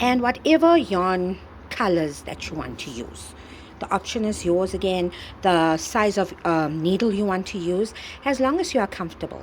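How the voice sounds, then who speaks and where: Speaking at a moderate pace and medium pitch, a woman has a plain, everyday voice. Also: lively intonation. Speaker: crochet tutorial creator. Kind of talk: tutorial.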